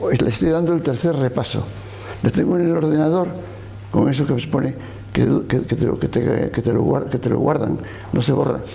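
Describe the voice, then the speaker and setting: Amid noticeable background noise and audible room echo, the speaker goes at a fairly quick pace with long, frequent pauses. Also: man, medium pitch for a man, ordinary pitch variation, very even loudness. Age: 80s+. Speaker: novelist. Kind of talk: interview. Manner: halting, with frequent repetitions.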